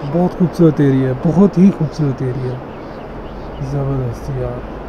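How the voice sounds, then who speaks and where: There is noticeable background noise as a man speaks. His pitch is fairly high and varies in an ordinary way. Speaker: travel vlogger. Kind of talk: travel vlog. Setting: hotel room, then outdoors on lawn. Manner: animated.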